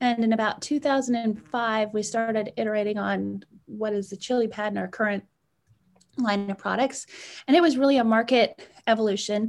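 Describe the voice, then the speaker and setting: A woman's normal speaking voice, fairly high in pitch, with fairly even intonation on a very clean recording with a silent background. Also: fairly quick pace. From Canada (Edmonton, Alberta). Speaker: sleep technology entrepreneur. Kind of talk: interview.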